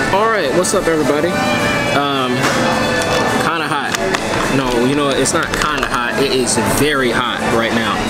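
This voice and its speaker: Over loud background music, a man talks at a moderate pace. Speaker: beer vlogger. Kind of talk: casual vlog chat. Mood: relaxed, upbeat. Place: bar. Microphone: phone near.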